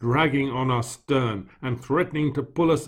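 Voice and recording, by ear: A natural voice reading aloud, with ordinary rises and falls in pitch.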